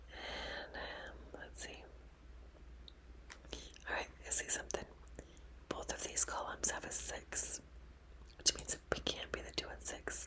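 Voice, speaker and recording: A woman whispers at a fairly slow pace, with long, frequent pauses. Her loudness swings widely over noticeable background noise. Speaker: ASMR puzzle streamer. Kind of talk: ASMR puzzle-solving commentary. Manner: whispered, soft-spoken.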